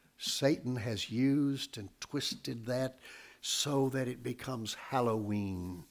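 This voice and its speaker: Very slowly, a man with a Southern Appalachian accent speaks at medium pitch with ordinary pitch variation on a very clean recording with a silent background. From US South. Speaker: pastor. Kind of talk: sermon. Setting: church. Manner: deliberate.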